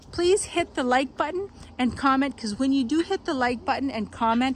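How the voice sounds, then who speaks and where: In a Quebec accent, the speaker goes at a moderate pace with ordinary pitch variation. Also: woman. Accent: French Canadian accent in English. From Quebec and New Brunswick, Canada. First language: French. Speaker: farm vlogger. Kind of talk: casual vlog talk to camera. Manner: rambling, with many fillers and restarts.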